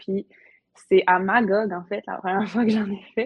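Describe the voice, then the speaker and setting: The speaker keeps a moderate pace and a flat, monotone intonation throughout. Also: woman. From Quebec, Côte-Nord (Havre-Saint-Pierre). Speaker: entrepreneur, paddleboard business owner. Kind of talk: casual interview.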